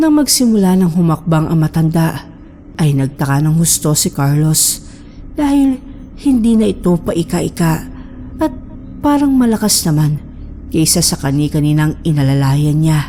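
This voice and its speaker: This woman's very deep, low pitch moves at a moderate pace against noticeable background noise. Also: lively intonation, very even loudness. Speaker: horror story narrator. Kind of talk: horror story narration.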